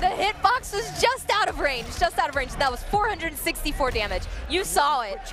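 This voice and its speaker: A man with an extremely high pitch uses a raised, projected voice with very wide pitch swings at a moderate pace. Clear music plays in the background, and the sound is dry with no echo. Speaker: esports fighting game commentator. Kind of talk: live esports match commentary. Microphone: headset.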